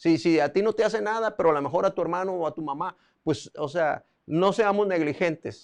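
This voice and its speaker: Here a man talks at a fairly quick pace with a high pitch. His pitch variation is ordinary. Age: 60s. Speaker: preacher. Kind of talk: sermon. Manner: halting.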